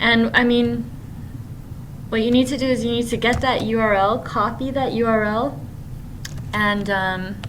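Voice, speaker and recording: A woman speaks at a moderate pace and fairly high pitch, with fairly even intonation and long, frequent pauses. Audible room echo and noticeable background noise fill the recording. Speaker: middle school technology teacher. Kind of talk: screencast tutorial.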